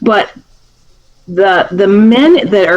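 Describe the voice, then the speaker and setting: A woman at a medium pitch, ordinary pitch variation, with noticeable background noise. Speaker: county prosecutor. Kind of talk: talk to a seniors group. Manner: loud; clear, speaks up.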